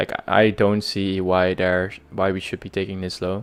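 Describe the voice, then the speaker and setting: In a very clean recording with a silent background, a man with a Dutch accent talks in a monotone, flat intonation at a very deep, low pitch. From Netherlands. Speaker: day trader streamer. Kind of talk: live trading stream commentary. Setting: live stream. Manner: halting, many fillers.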